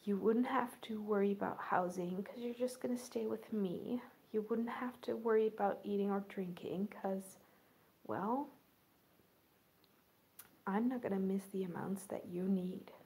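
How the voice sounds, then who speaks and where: A soft-spoken, somewhat breathy woman talks with a dark, mellow tone and fairly even intonation, leaving long, frequent pauses. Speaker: role-play vlogger. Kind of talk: soft role-play chat to viewer. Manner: soft, slow ASMR soft-spoken voice. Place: home room. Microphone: phone near.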